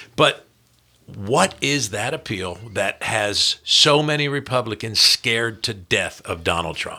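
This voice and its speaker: Using a normal speaking voice, a man at medium pitch talks with lively intonation at a fairly slow pace. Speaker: podcast host. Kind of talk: casual chat. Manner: talkative.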